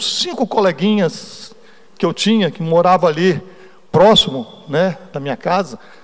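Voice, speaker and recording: Against noticeable background noise, a man with a high voice talks fairly slowly, using ordinary pitch variation. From Brazil, Espírito Santo (Cariacica). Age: 60s. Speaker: church elder / lay preacher. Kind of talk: sermon with personal testimony. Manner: conversational, informal.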